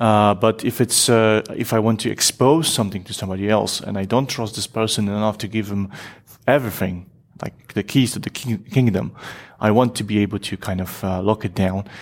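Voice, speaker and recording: Fairly quick, fairly even speech from a man with a fairly low pitch and a Polish accent. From Poland. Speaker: software engineer and community expert. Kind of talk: interview conversation. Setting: at a tech conference.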